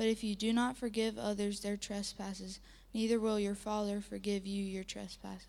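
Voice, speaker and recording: Speaking with monotone, flat intonation, a woman keeps a medium pitch and a moderate speed. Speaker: scripture reader. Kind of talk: reading aloud.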